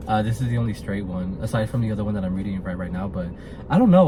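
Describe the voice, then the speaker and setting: A man's fairly low pitch comes through noticeable background noise. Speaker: podcast host. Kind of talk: casual book review monologue. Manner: stuttering at times; animated.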